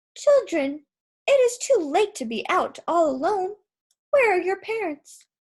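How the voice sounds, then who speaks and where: The speaker uses a squeaky, put-on character voice with very wide pitch swings. The pace is moderate. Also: woman, extremely high pitch for a woman. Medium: read story. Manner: sweet, coaxing.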